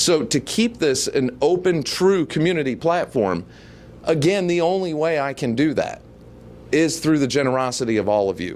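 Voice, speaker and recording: This man's pitch is fairly high and his intonation lively. He speaks at a moderate pace. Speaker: local online show host and debate moderator. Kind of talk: fundraising appeal to viewers. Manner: mumbling a little; earnest, pleading.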